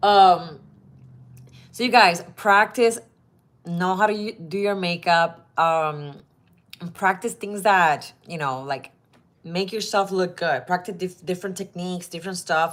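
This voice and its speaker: Fairly slow speech in a Spanish accent, with big swings in loudness and long, frequent pauses. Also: woman, medium pitch for a woman, ordinary pitch variation, very clean recording, silent background. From Puerto Rico. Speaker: model. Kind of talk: advice vlog. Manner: casual, with fillers and restarts.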